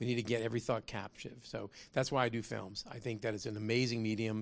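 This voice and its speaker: This man talks at a very fast pace with a medium pitch and vocal fry. The background is quiet. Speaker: business founder and lecturer. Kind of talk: lecture with humor and moral exhortation. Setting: live lecture hall with audience. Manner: conversational, preachy, jokes.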